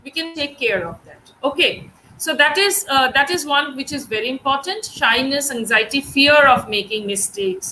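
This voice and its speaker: A woman with a Bengali accent speaks at a moderate pace in a raised, projected voice with high pitch and very wide pitch swings, over noticeable background noise. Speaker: English teacher. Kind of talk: online class lecture. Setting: live stream. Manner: hesitant, many fillers.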